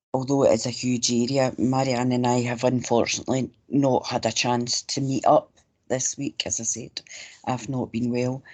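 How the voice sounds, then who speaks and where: In a Scottish accent, a woman with a very deep, low pitch speaks at a moderate pace in a monotone, flat intonation. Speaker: local councillor. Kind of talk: online meeting.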